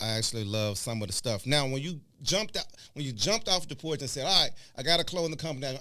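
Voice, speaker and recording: Bright and sharp in tone, a man with a fairly high pitch races along at a very fast pace with lively intonation, in audible room echo. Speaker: podcast host. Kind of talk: interview.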